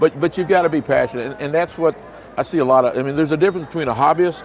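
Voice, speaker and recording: A man rattles along very fast with ordinary pitch variation while noticeable noise sounds behind him. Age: 60s. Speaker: reptile breeder and business owner. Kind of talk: interview. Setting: reptile expo. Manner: animated.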